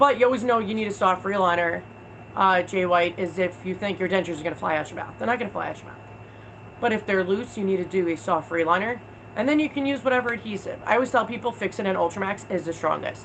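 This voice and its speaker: Over noticeable background noise, a woman with an American accent talks at a very fast pace, at a medium pitch with ordinary pitch variation. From New York, Long Island. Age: 30s. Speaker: video creator. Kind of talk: livestream chat. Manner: fast, rapid fire.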